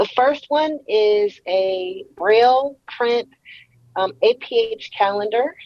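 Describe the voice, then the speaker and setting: With an American accent, a woman speaks very slowly at a high pitch, her intonation lively. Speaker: convention attendee. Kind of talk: casual chat. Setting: video call. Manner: animated.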